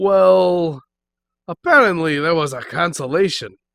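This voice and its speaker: A man puts on a gruff character voice at a fairly high pitch, with very wide pitch swings. The recording is very clean, with a silent background. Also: fairly slow pace. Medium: actual play. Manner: gruff, says "pal" often.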